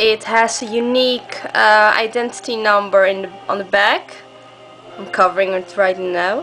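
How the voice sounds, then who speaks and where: With music in the background, a woman at medium pitch speaks at a moderate pace, her intonation fairly even and her loudness swinging widely. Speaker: gamer. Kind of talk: casual product demo to camera.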